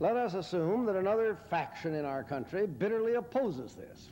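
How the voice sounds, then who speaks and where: A man speaks with a dark, mellow tone. Light background noise runs underneath. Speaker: lecturer or public speaker. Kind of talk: lecture. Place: hall. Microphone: podium.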